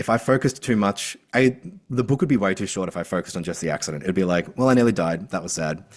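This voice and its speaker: A man with an Australian accent speaks at a very fast pace with lively intonation. The recording is very clean, with a silent background. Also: fairly low pitch for a man. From Australia, rural. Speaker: author and mental health advocate. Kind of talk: podcast interview. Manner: animated.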